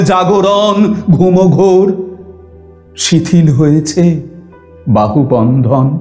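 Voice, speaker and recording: A man at a high pitch, with audible room echo and faint music in the background. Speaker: poetry reciter. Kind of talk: poetry reading. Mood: expressive, emotive, dramatic.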